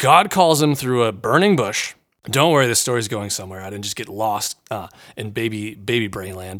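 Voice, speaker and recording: Bright, sharp male speech with lively intonation at a moderate pace, in a very clean recording with a silent background. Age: 30s. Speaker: podcast host and counselor. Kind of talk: Bible teaching podcast. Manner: casual, conversational with fillers.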